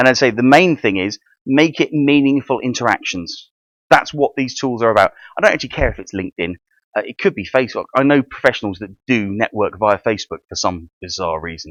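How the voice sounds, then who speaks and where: Speaking with a British accent at a fairly quick pace, a man with a medium pitch makes very wide pitch swings and big swings in loudness, recorded dry and close with no echo against a quiet background. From UK. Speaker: networking and funding advisor, workshop speaker. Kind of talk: presentation to a room of trainees. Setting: meeting room with audience. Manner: fast.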